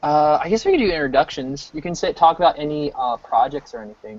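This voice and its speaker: An American accent marks this man's normal speaking voice, which is fairly high in pitch, fairly quick in pace and shows big swings in loudness. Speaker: game artist livestreaming work. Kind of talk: casual chat.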